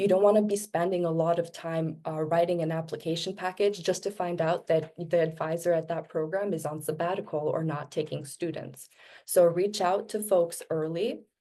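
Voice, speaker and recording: With a non-native accent, a woman speaks in a dark, mellow tone. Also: fairly low pitch for a woman, fairly even intonation, moderate pace, hardly any pauses. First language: not English. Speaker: graduate school panelist. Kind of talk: webinar presentation.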